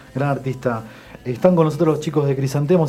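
Fairly even intonation runs through very fast speech, with noticeable background noise behind it. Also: man. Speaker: radio host. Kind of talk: radio show chat. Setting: radio studio.

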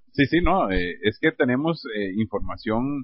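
A man with a normal speaking voice talks at a fairly slow pace with lively intonation. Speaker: radio host. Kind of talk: comedy sketch interview; radio announcement.

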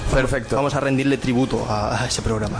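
Noticeable background noise sits behind a man speaking at medium pitch. His intonation is monotone and flat, and his pace is fairly quick. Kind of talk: casual chat.

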